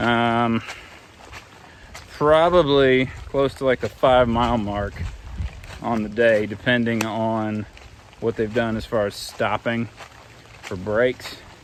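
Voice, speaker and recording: A man speaks at a very slow pace with long, frequent pauses and a medium pitch. His intonation stays fairly even over noticeable background noise. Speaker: hiking vlogger. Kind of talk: casual vlog narration. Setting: outdoors and in a car.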